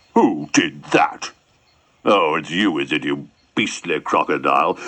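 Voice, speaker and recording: Putting on a character voice, a man talks at a fairly slow pace. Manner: indignant.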